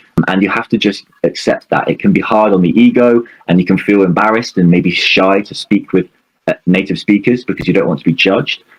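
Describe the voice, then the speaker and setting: With a British accent, a man speaks at a fairly quick pace in a fairly low voice with ordinary pitch variation, the sound dry and close with no echo. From UK. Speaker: English speaking coach. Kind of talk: interview.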